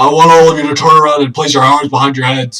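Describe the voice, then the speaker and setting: Loud and very fast, a man puts on a character voice that is fairly high-pitched and delivered in a flat monotone. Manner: commanding, very loud.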